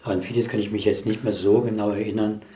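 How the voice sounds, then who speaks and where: A somewhat breathy male voice, dark and mellow in tone, with audible room echo. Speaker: physicist. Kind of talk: casual chat. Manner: reserved.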